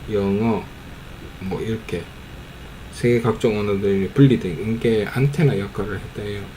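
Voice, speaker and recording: A man's fairly low-pitched voice at a very slow pace, with ordinary pitch variation and noticeable background noise. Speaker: amateur YouTuber commenting on videos. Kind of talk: casual commentary on a film. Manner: casual, hesitant with fillers.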